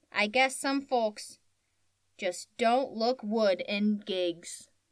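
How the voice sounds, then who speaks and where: A woman puts on a character voice with fairly high pitch. She delivers it at a very slow pace. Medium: read story.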